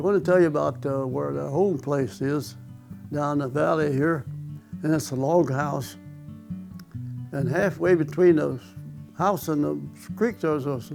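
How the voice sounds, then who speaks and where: Music plays in the background as a man talks with a rural Missouri accent. His pitch is fairly high, his pace moderate and his intonation lively. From Osage County, Missouri, USA. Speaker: World War II veteran and former farmer. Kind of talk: oral history interview answer.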